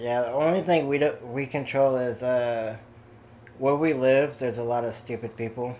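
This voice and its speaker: At a moderate pace, a man with a slight Southern US accent speaks at a medium pitch with fairly even intonation. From Kansas. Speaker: gamer on voice chat. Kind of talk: casual chat.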